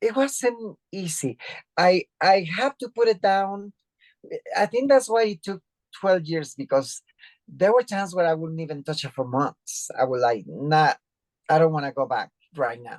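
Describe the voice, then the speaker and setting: A woman speaks with a Spanish accent at a fairly slow pace and a medium pitch. Her pitch swings very widely over a quiet background. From Mexico, Mexico City. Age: 60s. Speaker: author and activist. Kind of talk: interview. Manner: halting, many fillers.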